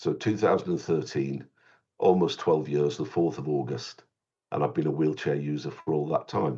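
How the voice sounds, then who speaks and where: At a moderate pace, a man with a very deep, low pitch and a dark, mellow tone talks with ordinary pitch variation and some vocal fry. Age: 60s. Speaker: children's author. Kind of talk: interview. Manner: halting.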